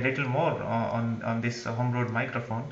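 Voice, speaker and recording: There is audible room echo and light background noise as a man speaks at a fairly quick pace. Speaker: amateur radio operator. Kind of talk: radio contact exchange. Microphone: handheld.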